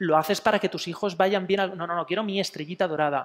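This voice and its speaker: An animated tone runs through this man's speech. His pitch is high. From Spain, Elche (Alicante); Spain. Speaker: psychologist giving a talk. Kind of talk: public talk. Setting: museum talk with live audience. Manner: animated, with many fillers. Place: hall.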